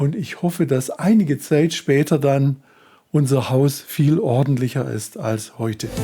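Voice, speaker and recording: Somewhat breathy, a man with a dark, mellow tone speaks at a fairly slow pace. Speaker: self-help coach. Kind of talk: tutorial.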